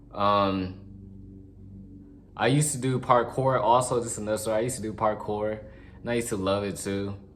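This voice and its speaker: Music plays in the background and the room echo is audible. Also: man. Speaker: vlogger. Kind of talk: casual monologue. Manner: fast.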